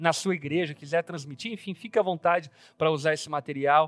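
Speaking very fast with fairly even intonation, a man with a fairly high pitch is heard in a very clean recording with a silent background and a dry, close sound free of echo. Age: 30s. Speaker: pastor. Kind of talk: Bible study discussion. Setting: studio.

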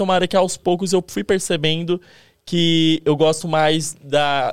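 With a high pitch and fairly even intonation, a man speaks on a very clean recording with a silent background. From Brazil, interior of São Paulo state. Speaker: video editor. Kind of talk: casual chat.

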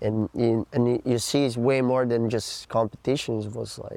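A man speaks with a Portuguese accent at a medium pitch. His pace is moderate and his intonation monotone and flat. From Brazil, Florianópolis. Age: 20s. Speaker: pro surfer. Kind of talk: interview.

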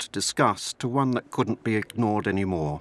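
A plain, everyday voice from a man at medium pitch, fairly quick in pace, with a dry, close sound and no echo. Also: very clean recording, silent background. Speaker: museum volunteer tour guide. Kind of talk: personal testimony.

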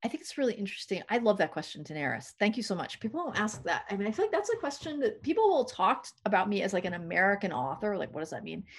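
Fairly high-pitched, somewhat breathy speech from a woman, very fast, with very wide pitch swings. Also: hardly any pauses. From New England. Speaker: poet and professor. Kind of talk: interview. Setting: remote call from home office.

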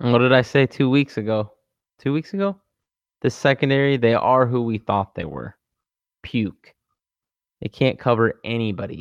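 A man speaks at a moderate pace and medium pitch, with ordinary pitch variation and long, frequent pauses. The sound is dry and close with no echo, against a quiet background. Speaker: sports betting podcast co-host. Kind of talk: casual chat.

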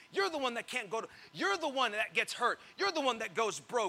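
A man speaks in a raised, projected voice at an extremely high pitch, with a bright, sharp tone and very wide pitch swings. His delivery is animated and fairly quick. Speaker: pastor. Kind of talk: sermon. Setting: church with congregation. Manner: animated, call-and-response, pausing for amens; teasing, jokey, warm.

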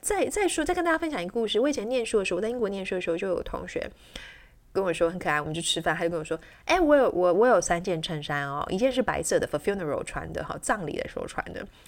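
A woman speaks very fast in an animated tone. Her volume rises and falls in big swings. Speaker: English teacher and podcast host. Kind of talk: solo educational podcast monologue. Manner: animated, with frequent fillers.

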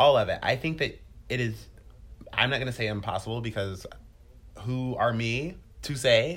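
A man speaks at a moderate pace. Vocal fry runs through his voice. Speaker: podcast co-host. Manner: animated, casual.

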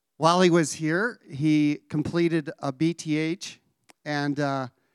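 An unremarkable speaking voice from a man, fairly high in pitch with ordinary pitch variation, in a dry, close sound with no echo on a very clean recording with a silent background. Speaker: college staff member introducing speaker. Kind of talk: introduction and prayer. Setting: chapel with audience.

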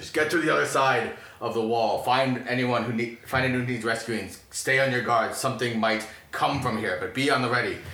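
In a loud, booming, put-on character voice, a man of medium pitch speaks at a moderate pace with fairly even intonation and slight echo. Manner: shouting orders.

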